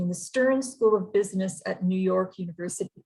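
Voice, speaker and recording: A woman with a Canadian accent speaks at a fairly quick pace in a medium-pitched, somewhat breathy voice. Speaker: university representative introducing speakers. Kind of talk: formal webinar introduction. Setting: online webinar.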